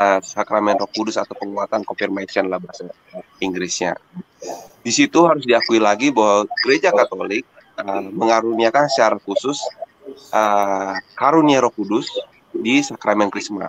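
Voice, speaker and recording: Medium-pitched man with ordinary pitch variation, dry and close with no echo, over noticeable background noise. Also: moderate pace. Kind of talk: casual discussion. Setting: video call.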